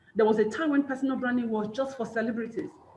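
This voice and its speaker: A woman with a fairly high pitch, an animated tone and a fairly quick pace. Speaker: personal branding coach and motivational speaker. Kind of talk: webinar talk. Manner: fast.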